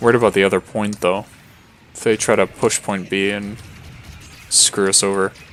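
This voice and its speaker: At a moderate pace with long, frequent pauses, a man speaks in a fairly low, monotone, flat voice whose loudness swings widely, over noticeable background noise. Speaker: video game streamer. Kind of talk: live gameplay commentary.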